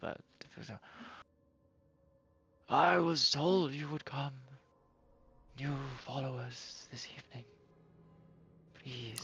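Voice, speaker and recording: In a put-on character voice, the speaker sounds raspy and solemn, talking at a very slow pace with long, frequent pauses. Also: man, fairly high pitch for a man. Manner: ritualistic, solemn.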